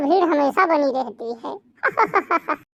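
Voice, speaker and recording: A woman's cartoonish character voice, high in pitch. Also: quiet background. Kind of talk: rustic cartoon comedy. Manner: folksy, bantering.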